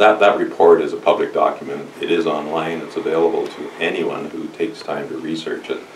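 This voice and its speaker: Fairly quick speech with a Canadian accent, big swings in loudness, audible room echo, and light background noise. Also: man. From Ontario. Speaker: mayor and election candidate; mayor, election candidate. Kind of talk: campaign speech to supporters. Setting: church hall with audience. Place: hall.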